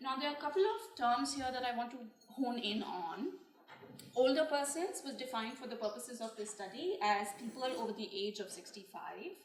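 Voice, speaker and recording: In a room with audible echo, a woman speaks at a high pitch with lively intonation. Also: fairly quick pace. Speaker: researcher presenting findings. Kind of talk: press conference presentation.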